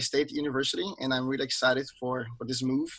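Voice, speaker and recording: Bright and sharp in tone, a man speaks with a Brazilian accent. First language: Portuguese. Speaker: trumpet instructor. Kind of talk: panel discussion on video call.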